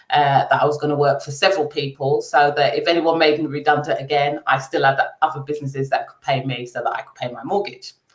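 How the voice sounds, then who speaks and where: A woman with a very deep, low pitch talks very fast with hardly any pauses, sounding somewhat breathy, with fairly even intonation and big swings in loudness. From London, England. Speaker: accountant, business owner. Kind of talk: interview. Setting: livestream.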